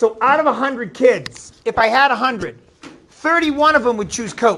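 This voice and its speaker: With a New England accent, a man talks at a moderate pace with ordinary pitch variation over noticeable background noise. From Maine, New England. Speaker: middle school math teacher. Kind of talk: classroom lesson. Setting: classroom.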